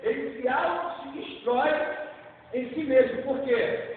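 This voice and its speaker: A man's extremely high-pitched voice amid noticeable background noise and audible room echo. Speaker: preacher. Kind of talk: sermon.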